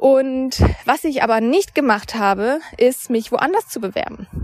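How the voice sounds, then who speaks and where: There is noticeable background noise as a woman speaks with lively intonation. Her pitch is high. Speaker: podcast host and mindset coach. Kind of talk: solo monologue podcast, storytelling. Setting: outdoors, walking by a river.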